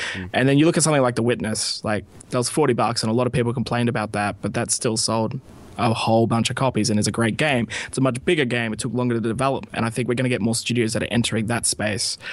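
A man with an Australian accent at a very fast pace, with fairly even intonation. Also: medium pitch for a man. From rural Australia. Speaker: indie game publishing community manager. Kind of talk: casual interview. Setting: Skype call.

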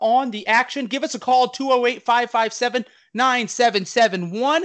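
A man speaks at a fairly quick pace in an extremely high voice, his tone animated, bright and sharp. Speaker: podcast host. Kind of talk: casual chat.

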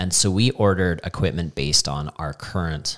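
Recorded very cleanly with a silent background, a man speaks in a very deep, low pitch with vocal fry and ordinary pitch variation. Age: 40s. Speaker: CrossFit coach and gym owner. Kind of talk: casual chat.

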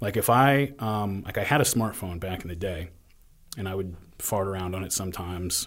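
Somewhat breathy, fairly low-pitched male speech with ordinary pitch variation. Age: 30s. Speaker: history podcaster. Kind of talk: casual interview.

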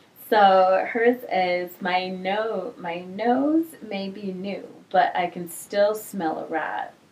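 There is noticeable background noise as a woman speaks at a very slow pace and medium pitch with ordinary pitch variation. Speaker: podcast host. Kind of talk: casual chat. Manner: animated.

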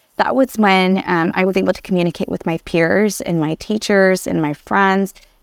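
Heard in a dry, close sound with no echo, the speaker has a Southern California accent and ordinary pitch variation. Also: woman. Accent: general American, Southern California. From Vietnam, raised in Anaheim, California. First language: Vietnamese. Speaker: educator and talent developer. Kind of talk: interview, personal storytelling.

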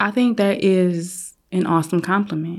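A woman's fairly low, unremarkable speaking voice with fairly even intonation, on a very clean recording with a silent background. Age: 40s. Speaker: photographer. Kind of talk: casual interview.

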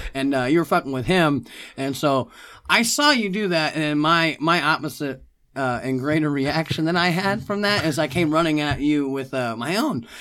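On a very clean recording with a silent background, a man speaks at a fairly high pitch. His tone is bright and sharp, with a moderate pace and ordinary pitch variation. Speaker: podcast guest. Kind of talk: casual chat. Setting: studio.

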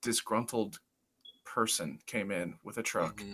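A man talks with a Midwestern American accent at a moderate pace. The recording is very clean, with a silent background. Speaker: podcast co-host, amateur cage fighter. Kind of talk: casual chat. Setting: home basement.

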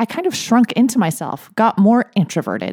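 In an ordinary speaking voice, a woman talks at a moderate pace with ordinary pitch variation. The sound is dry and close, with no echo. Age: 40s. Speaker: therapist and life coach podcast host. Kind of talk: solo podcast monologue.

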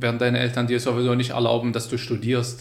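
A man at medium pitch speaks with vocal fry and audible room echo. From Syria, Hama. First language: Arabic (speaking German). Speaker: migrant advisory council member. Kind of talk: interview. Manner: animated.

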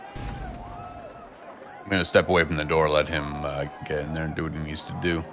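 A man's very deep, low voice at a moderate pace with ordinary pitch variation, crowd noise in the background. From Canada. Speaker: tabletop game player. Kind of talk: actual play tabletop game.

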